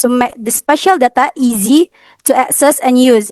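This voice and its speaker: A woman's high-pitched voice, dry with no echo, against a quiet background. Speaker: university student presenter; presenter. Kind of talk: student presentation. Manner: halting. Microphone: video call.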